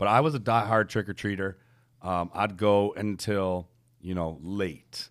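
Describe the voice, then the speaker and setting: On a very clean recording with a silent background, a man with an American accent has an ordinary speaking voice at a fairly low pitch. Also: ordinary pitch variation, fairly slow pace. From US Midwest (Detroit). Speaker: podcast co-host. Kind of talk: casual chat.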